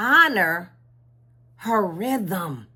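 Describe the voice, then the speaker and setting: A woman's bright, sharp voice with very wide pitch swings, on a very clean recording with a silent background. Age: 60s. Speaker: spiritual content creator. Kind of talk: casual vlog talk. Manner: halting, with repetitions.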